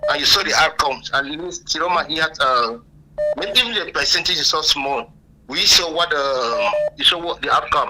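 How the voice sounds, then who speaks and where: Pitch varies in an ordinary way. Background noise is noticeable. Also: man, fairly high pitch for a man, moderate pace. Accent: Cameroonian. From Cameroon. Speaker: caller. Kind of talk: phone call-in.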